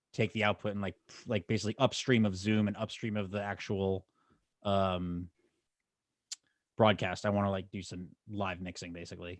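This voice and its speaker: In a dry, close recording with no echo, a man with a very deep, low voice speaks fairly quickly in a flat monotone. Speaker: software developer. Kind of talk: casual chat.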